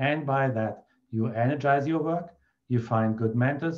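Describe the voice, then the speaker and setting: A man with a German accent, dark and mellow in tone, at a fairly slow pace over a quiet background. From Germany. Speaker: feng shui consultant. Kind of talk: tutorial.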